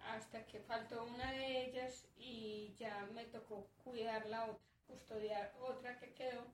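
Over noticeable background noise, a woman with a fairly high pitch talks at a very slow pace in a monotone, flat intonation, with hardly any pauses. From Colombia, northern Antioquia. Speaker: herbalist and community worker. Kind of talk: interview conversation.

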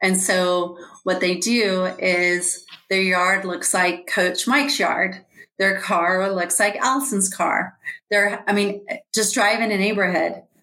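A woman with an American accent speaks at a very slow pace, her medium pitch held in fairly even intonation. Room echo is audible. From Georgia, US South. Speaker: life coach and author. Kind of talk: interview.

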